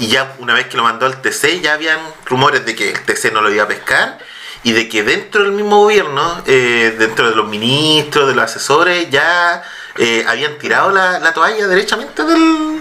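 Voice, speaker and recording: A man with a Chilean accent talks at a fairly high pitch, his voice swinging very widely. Noticeable background noise is present. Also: moderate pace. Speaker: podcast host. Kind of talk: reading aloud; casual chat.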